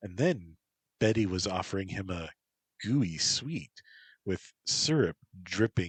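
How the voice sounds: A quiet background sits behind the speech. It is a natural reading voice, and the intonation is lively.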